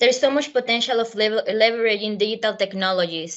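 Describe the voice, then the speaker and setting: A woman speaks in a Spanish accent. Her pitch varies in an ordinary way. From Venezuela. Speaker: university alum panelist. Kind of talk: panel talk. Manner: hesitant, many fillers.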